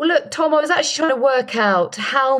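A woman speaks at a fairly quick pace in a British accent. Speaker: broadcaster and podcast co-host. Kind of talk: casual podcast chat.

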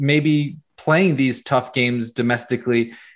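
A man talks at a medium pitch with ordinary pitch variation, in a plain, everyday voice. The background is quiet. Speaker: PSG fan site founder. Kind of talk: interview analysis.

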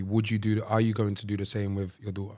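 A man speaks with a London accent. His intonation stays monotone and flat. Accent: London Multicultural English. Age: 20s. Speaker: podcast co-host. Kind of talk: casual chat. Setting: studio.

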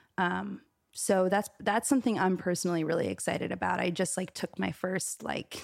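This woman has an American accent and a fairly low pitch. Hers is an unremarkable speaking voice. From New York City, East Village. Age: 20s. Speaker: musician. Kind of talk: casual chat. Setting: host's apartment.

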